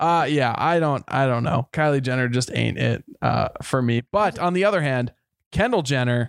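A man speaks in a plain, everyday voice at medium pitch with ordinary pitch variation, a moderate pace and very even loudness, the sound dry and close with no echo. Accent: American. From Minnesota, US. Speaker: podcast co-host. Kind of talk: casual chat.

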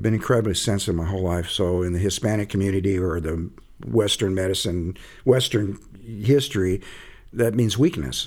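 On a very clean recording with a silent background, a man with an American accent and an ordinary speaking voice talks at a fairly quick pace and fairly low pitch, with ordinary pitch variation. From Arizona. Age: 60s. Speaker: author and healing circle facilitator in recovery. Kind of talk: casual interview conversation.

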